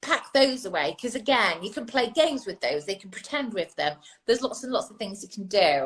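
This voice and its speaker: A somewhat breathy woman with a fairly high pitch talks at a fairly quick pace, her pitch swinging very widely and her loudness swinging a lot. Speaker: early years expert and author. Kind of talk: interview. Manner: fast.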